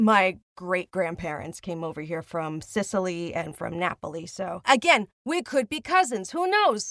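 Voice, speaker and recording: A woman with an American accent, a medium pitch and an animated tone, lively intonation at a fairly slow pace with hardly any pauses, in dry, close sound with no echo. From Long Island, New York. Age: 50s. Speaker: podcast host. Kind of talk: interview.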